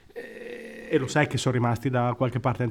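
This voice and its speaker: Noticeable background noise runs behind the speaker. A man with a medium pitch talks at a very fast pace. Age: 30s. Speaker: podcast co-host. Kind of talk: casual chat.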